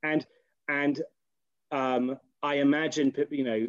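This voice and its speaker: With a British accent, a man speaks at a fairly high pitch in a monotone, flat intonation, the sound dry and close with no echo. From Britain. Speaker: rabbi and philosophy lecturer. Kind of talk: lecture. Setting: video call. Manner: halting.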